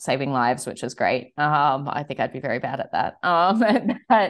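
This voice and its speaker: A woman's very deep, low voice with an Australian accent, lively intonation and a fairly slow pace. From Australia, Sydney. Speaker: wine shop owner. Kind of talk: interview. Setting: studio.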